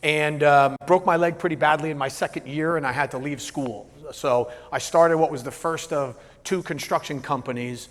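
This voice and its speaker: Speaking with an American accent, a man with a fairly high pitch keeps a moderate pace and fairly even intonation. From New Jersey. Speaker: business coach and keynote speaker. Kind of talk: keynote presentation. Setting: stage with live audience. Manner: moderate, even delivery; casual, halting with many fillers.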